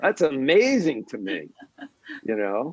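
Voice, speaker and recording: A man's medium-pitched voice with vocal fry, very wide pitch swings and a fairly slow pace, in a dry, close sound with no echo. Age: 70s. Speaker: Zen master. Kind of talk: dharma talk answering questions. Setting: online video call. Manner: casual, conversational.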